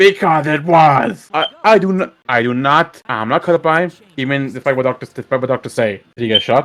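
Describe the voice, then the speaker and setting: Here is a man with an unremarkable speaking voice, fairly high in pitch. He talks at a moderate pace with lively intonation and hardly any pauses. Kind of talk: casual gaming commentary.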